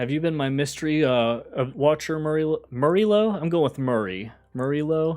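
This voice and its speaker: In an American accent, a man with a fairly high pitch speaks at a moderate pace using lively intonation. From US, West Virginia. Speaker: gaming streamer. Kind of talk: live gameplay commentary. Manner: casual, thinking aloud with hesitations.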